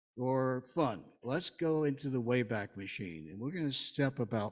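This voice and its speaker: His intonation rises and falls in a lively way. The man has an American accent. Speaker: lay speaker. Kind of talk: sermon. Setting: church service with congregation. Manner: conversational, humorous.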